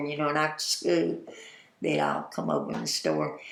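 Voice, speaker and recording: Audible room echo and noticeable background noise around a woman with an American accent at a moderate pace. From US South, Atlanta, Georgia. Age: 80s. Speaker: oral history interviewee, former store owner. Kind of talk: oral history interview. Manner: animated storytelling.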